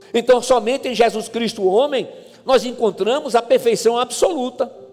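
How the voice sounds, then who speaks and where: A man's extremely high-pitched voice at a moderate pace, fairly even intonation, and noticeable background noise. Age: 60s. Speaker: pastor. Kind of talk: sermon. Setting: church.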